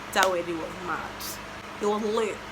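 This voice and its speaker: A woman's animated voice at medium pitch, with ordinary pitch variation and a fairly slow pace, plus audible room echo and noticeable background noise. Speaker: vlogger. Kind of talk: casual vlog chat.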